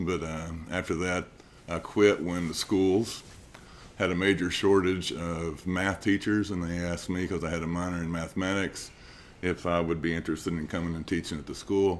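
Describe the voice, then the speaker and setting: With an East Tennessee accent, a man speaks in a very deep, low pitch and a monotone, flat intonation. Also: moderate pace. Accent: Southern US (East Tennessee). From Tennessee, Scott County. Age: 60s. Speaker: political candidate. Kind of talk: candidate introduction.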